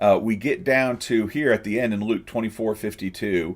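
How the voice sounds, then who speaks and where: Captured in a very clean recording with a silent background, a man speaks at a moderate pace and medium pitch. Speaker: pastor teaching sermon preparation. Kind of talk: live stream tutorial. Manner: hesitant, many fillers.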